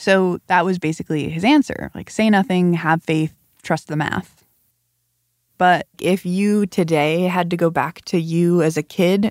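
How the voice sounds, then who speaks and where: The speaker has a normal speaking voice. Pitch variation is ordinary. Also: woman. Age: 20s. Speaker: radio producer. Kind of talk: casual chat.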